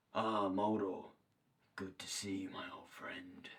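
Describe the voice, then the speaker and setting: At a fairly slow pace, a man uses a raspy, put-on character voice pitched fairly low. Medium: short film. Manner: formal, wheedling.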